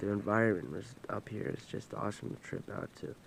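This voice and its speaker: Noticeable background noise accompanies speech at a moderate pace. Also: man. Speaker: vlogger. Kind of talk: casual storytelling vlog. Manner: loud; halting, repetitive.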